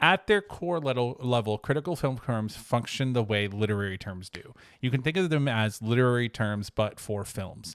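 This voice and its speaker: With lively intonation and a medium pitch, a man speaks in a very clean recording over a silent background. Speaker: high school teacher. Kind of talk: recorded lesson. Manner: halting.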